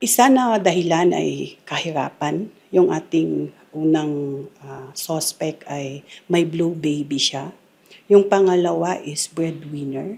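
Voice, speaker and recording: A woman's very deep, low voice at a very slow pace, with ordinary pitch variation and big swings in loudness. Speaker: police officer. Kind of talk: interview soundbite. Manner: formal.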